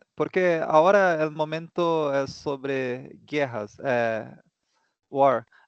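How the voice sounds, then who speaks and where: Over a quiet background, a man with a non-native accent and a fairly high voice talks at a very slow pace with ordinary pitch variation. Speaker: student. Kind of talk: class discussion. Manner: halting.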